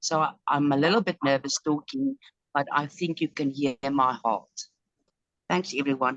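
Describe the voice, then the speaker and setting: A woman speaks at a very deep, low pitch with very even loudness and long, frequent pauses. The sound is dry and close, with no echo. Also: ordinary pitch variation, moderate pace. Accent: South African. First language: Afrikaans. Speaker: group member. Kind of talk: emotional group call talk. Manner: halting.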